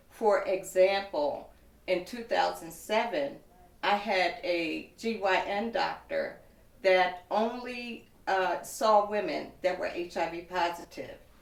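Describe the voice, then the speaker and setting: Audible room echo surrounds a woman speaking at a very slow pace. Her medium pitch shows ordinary variation. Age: 60s. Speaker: woman living with HIV sharing her experience. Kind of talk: testimony.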